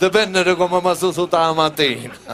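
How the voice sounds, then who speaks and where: Noticeable background noise behind a man with a high-pitched voice. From Sicily. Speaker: comedian. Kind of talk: cabaret comedy monologue.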